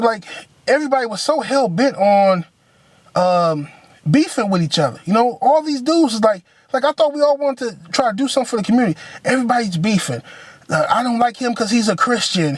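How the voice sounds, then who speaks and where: A man talks at a very fast pace in an extremely high voice. His pitch swings very widely. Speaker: vlogger telling life story. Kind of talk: personal testimony vlog. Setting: in a car. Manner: casual, conversational with fillers.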